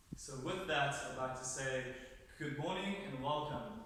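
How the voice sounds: A man speaks at a fairly slow pace in a medium pitch with a fairly bright tone and ordinary pitch variation, all within strong room echo.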